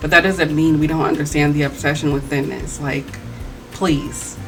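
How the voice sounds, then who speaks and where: Against music in the background and audible room echo, a woman with a very deep, low pitch speaks in an animated tone at a fairly quick pace. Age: 20s. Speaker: video essayist. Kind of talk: commentary video, reading comments aloud and responding.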